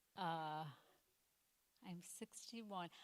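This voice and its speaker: A woman uses a raised, projected voice with a bright, sharp tone at a very slow pace. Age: 60s. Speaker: stand-up comedian. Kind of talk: stand-up. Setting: stage with audience.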